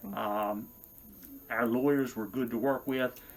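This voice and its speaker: A man with a medium pitch talks very slowly. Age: 60s. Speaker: retired firefighter, patient testimonial. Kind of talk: testimony. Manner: hesitant, with filler sounds.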